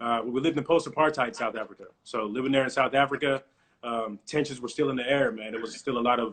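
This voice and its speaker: This man speaks at a very fast pace. His pitch is medium. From Texas. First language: non-English (Congo). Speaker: former football player, athlete development professional. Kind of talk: podcast interview. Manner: casual, conversational.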